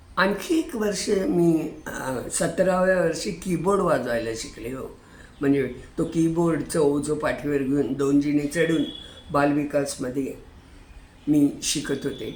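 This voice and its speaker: A woman's very deep, low-pitched voice with ordinary pitch variation. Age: 80s+. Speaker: retired hobbyist YouTuber. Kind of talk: casual talk to camera.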